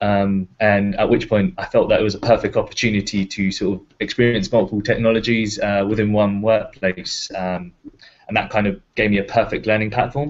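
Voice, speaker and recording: A man with a normal speaking voice talks at a fairly quick pace, his pitch fairly low and his intonation fairly even. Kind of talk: panel Q&A on video call. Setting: video call.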